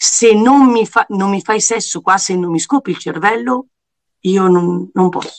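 A woman with an unremarkable speaking voice talks at a fairly slow pace, her medium pitch carried by lively intonation in a dry, close sound with no echo. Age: 40s. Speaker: TV presenter. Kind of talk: casual chat.

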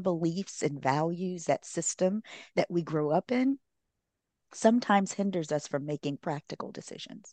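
A woman with a normal speaking voice, fairly low pitch and lively intonation, in a dry, close recording with no echo and a quiet background. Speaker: relationship therapist and author. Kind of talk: casual interview.

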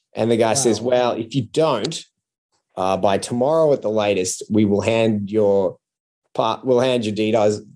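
Speaking with an Australian accent, a man uses a dark, mellow tone at medium pitch, a moderate pace and ordinary pitch variation. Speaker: comedian. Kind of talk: casual chat.

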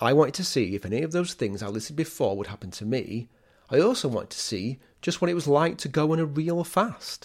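A man with an English accent, fairly quick pace and very wide pitch swings, on a very clean recording with a silent background. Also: fairly high pitch for a man. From England. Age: 40s. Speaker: podcast host, food historian. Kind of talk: casual podcast narration.

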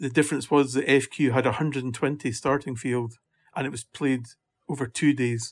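Recorded very cleanly against a silent background, a man with a Scottish accent and medium pitch speaks at a fairly quick pace with fairly even intonation. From Scotland. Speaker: golf championship administrator. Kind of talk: interview.

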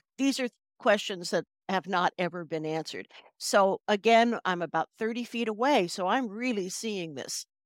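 A woman with a plain, everyday voice at medium pitch speaks at a moderate pace with lively intonation, recorded very cleanly against a silent background with a dry, close sound and no echo. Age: 60s. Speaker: hypnotherapist and author. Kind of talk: podcast interview.

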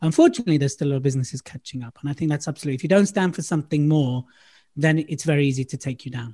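Against a quiet background, a man with a London accent speaks at a very fast pace, somewhat breathy, his fairly high pitch and dark, mellow tone showing ordinary pitch variation in a dry, close sound with no echo. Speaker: public speaking coach. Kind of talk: casual chat. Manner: animated.

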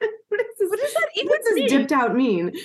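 A put-on character voice in an English accent is squeaky and extremely high-pitched. Its pitch swings very widely. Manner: puzzled, questioning.

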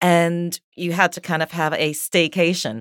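A woman speaks with an American accent. The recording is very clean and dry, close and echo-free, over a silent background. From New York, US. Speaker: DJ and radio host. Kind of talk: casual chat.

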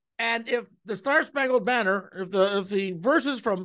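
A man's raised, projected voice with a bright, sharp tone against a quiet background. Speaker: podcast and radio host. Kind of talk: casual banter between co-hosts. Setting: video call recording. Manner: rambling, filler-heavy, joking.

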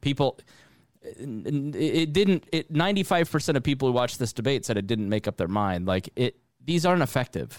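With a dry, close sound and no echo, a man talks at a fairly quick pace, his fairly high pitch making very wide swings. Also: very clean recording, silent background. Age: 30s. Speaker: podcast host. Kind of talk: casual chat.

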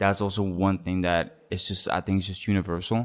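A man with a fairly low pitch keeps to a moderate pace. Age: 20s. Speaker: podcast guest sharing personal story. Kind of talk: casual interview about love and heartbreak. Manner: casual, hesitant with many fillers.

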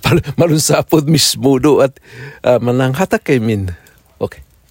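Here a man speaks at a fairly high pitch in a somewhat breathy voice, at a fairly slow pace. The sound is dry and close, with no echo. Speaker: pastor and native-language teacher. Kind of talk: casual chat. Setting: outdoors by a fire. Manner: halting.

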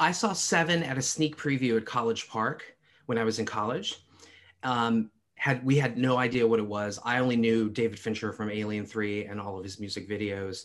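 Heard against a quiet background, a man with an American accent has an ordinary speaking voice, medium pitch, ordinary pitch variation and a moderate pace. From US East Coast. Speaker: film expert. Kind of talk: casual chat.

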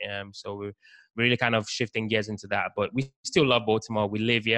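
A man with a fairly low pitch speaks very fast in a flat monotone, his tone bright and sharp, the sound dry and close with no echo. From Nigeria, later lived in the UK. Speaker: real estate investor. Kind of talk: casual interview.

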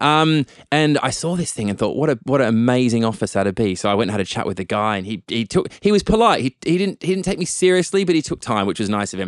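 With an Australian accent, a man at medium pitch races along very fast with hardly any pauses and very wide pitch swings, the sound dry and close with no echo against a quiet background. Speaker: tech entrepreneur and activist. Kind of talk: interview conversation. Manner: articulate.

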